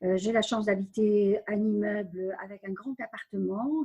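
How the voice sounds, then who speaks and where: Somewhat breathy, a woman speaks at a fairly slow pace. Her fairly high voice has a dark, mellow tone. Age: 70s. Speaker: community centre volunteer administrator. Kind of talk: interview. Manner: halting, many hesitations.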